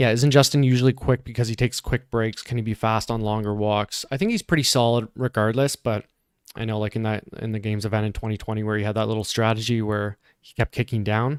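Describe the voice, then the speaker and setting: A man with a Canadian accent talks very fast at medium pitch, his intonation fairly even. His loudness swings widely, and the sound is dry and close with no echo. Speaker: fitness commentator. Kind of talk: live commentary. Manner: casual, conversational.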